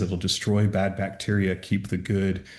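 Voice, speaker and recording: Here a man speaks with a very deep, low pitch in an American accent. His pace is moderate. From US Pacific Northwest, Seattle. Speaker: stem cell clinic co-founder. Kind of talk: podcast interview. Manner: casual, explanatory.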